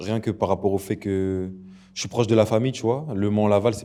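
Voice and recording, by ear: A man's fast speech, dark, mellow tone and fairly even intonation.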